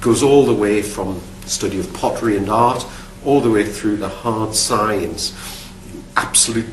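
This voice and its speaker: A fairly low-pitched man is heard with audible room echo and noticeable background noise. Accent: Geordie. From northern England, Newcastle upon Tyne. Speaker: archaeologist, university academic. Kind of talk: recorded talk about his career. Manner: halting, with repeated words and fillers.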